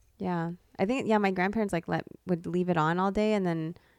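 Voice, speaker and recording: A woman with a normal speaking voice, fairly low in pitch, at a moderate pace with fairly even intonation against a quiet background. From US, born in the Philippines. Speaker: podcast co-host and nurse. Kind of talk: casual chat.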